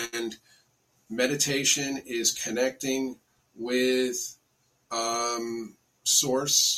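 Here a man talks with an American accent at a medium pitch. His intonation stays fairly even. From US Northeast (Bedford, New York). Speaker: spiritual teacher. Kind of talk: interview.

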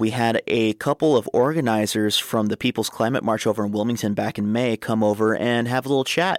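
This man has an ordinary speaking voice, fairly low in pitch, talking at a fairly quick pace with a dry, close sound and no echo. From San Fernando Valley, Los Angeles. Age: 20s. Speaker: radio host. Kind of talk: radio show hosting. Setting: studio.

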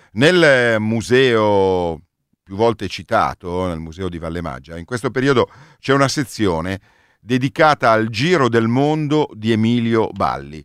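At a fairly slow pace, the voice swings very widely in pitch and greatly in loudness, on a very clean, dry, close recording with no echo and a silent background. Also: man, medium pitch for a man. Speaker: radio host. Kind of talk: radio travel show.

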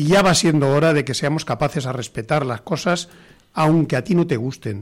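A man speaks at a fairly slow pace, his fairly high pitch moving with ordinary variation. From rural Spain. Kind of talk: talk radio panel discussion. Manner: halting.

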